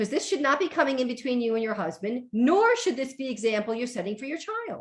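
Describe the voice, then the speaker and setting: A woman talks at a very fast pace in a high pitch. Her tone is animated and her intonation lively. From New York. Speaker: organization coach. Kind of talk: radio interview.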